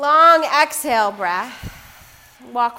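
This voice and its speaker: A woman speaks with a calm, soothing tone and a high pitch. Her pace is very slow, with ordinary pitch variation. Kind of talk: guided yoga class instruction, cueing poses and breath. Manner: calm, soft, unhurried, soothing cues with pauses and filler ums.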